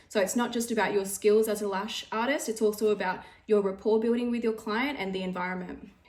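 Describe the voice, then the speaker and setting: A woman talks with an Australian accent at a fairly quick pace. Her voice is fairly high, with fairly even intonation. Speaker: beauty business owner and trainer. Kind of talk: tutorial. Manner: fast.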